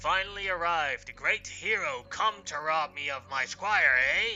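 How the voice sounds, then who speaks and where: Over clear music in the background, a man uses a put-on character voice that is raspy, raised and projected, high-pitched, and delivered at a moderate pace. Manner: booming.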